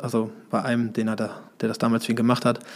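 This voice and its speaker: A man with an ordinary speaking voice talks fairly quickly at a medium pitch. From Germany, Hesse (Marburg). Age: 30s. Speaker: boating school founder, former wakeboard champion. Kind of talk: casual interview.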